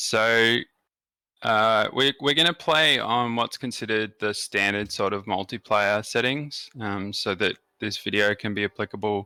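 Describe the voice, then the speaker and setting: A man speaks at a fairly slow pace in a fairly low pitch, with ordinary pitch variation. His tone is bright and sharp, and the sound is dry and close with no echo. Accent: strong Australian. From Australia. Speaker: gaming YouTuber. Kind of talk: game tutorial commentary.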